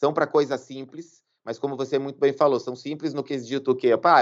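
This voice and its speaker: In a plain, everyday voice, a man with a fairly high pitch speaks at a fairly quick pace against a quiet background. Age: 40s. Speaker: lawyer. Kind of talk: interview conversation.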